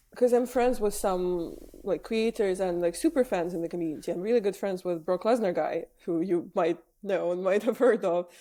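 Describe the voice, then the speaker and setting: A woman's medium-pitched, dark and mellow voice with a non-native accent, ordinary pitch variation and a moderate pace, on a very clean recording with a silent background. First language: not English. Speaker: wrestling journalist and presenter. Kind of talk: podcast interview.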